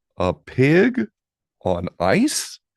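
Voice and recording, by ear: A man's put-on character voice, medium in pitch and slightly mellow, with vocal fry, very wide pitch swings and a very slow pace, in a very clean, dry, close recording with no echo and a silent background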